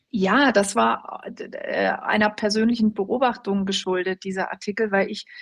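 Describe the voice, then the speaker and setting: A normal speaking voice with fairly even intonation, set against a quiet background. The pace is fairly slow. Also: woman. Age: 40s. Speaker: journalist and opinion editor. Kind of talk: interview.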